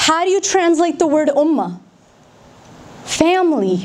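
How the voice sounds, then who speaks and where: A woman with a General American accent, at an extremely high pitch and fairly slow pace, over noticeable background noise. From Denver, Colorado, USA. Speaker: spoken word poet. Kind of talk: public speech.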